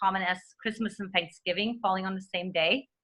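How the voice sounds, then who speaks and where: A woman with a bright, sharp tone speaks at a fairly quick pace. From Eastern Germany. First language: German. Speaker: dating coach. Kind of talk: interview.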